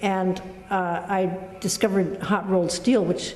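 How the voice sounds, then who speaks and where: With an American accent and a medium pitch, a woman speaks amid noticeable background noise and audible room echo. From US Pacific Northwest, Tacoma, Washington. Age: 70s. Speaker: painter. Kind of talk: interview monologue about her work. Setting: artist's studio. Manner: halting, many fillers and restarts.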